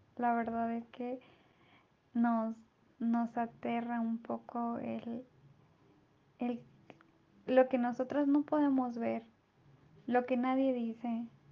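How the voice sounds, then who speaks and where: At a very slow pace, a woman with a fairly high pitch and a dark, mellow tone speaks with monotone, flat intonation. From Mexico. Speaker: podcast co-host. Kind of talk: interview.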